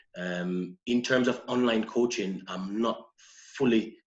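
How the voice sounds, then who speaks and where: A man's fairly low voice with a Jamaican accent and fairly even intonation. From Jamaica, Saint Ann parish. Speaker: personal trainer and model. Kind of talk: podcast interview. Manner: hesitant, with fillers.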